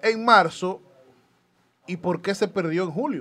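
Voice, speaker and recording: A man is speaking. The background is quiet. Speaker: political party activist. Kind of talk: political commentary.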